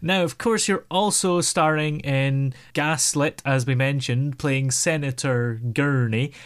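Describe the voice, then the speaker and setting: A man with a Scottish accent, fairly high pitch, fairly slow pace and very even loudness, on a very clean recording with a silent background. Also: ordinary pitch variation. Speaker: podcast host. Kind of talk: interview.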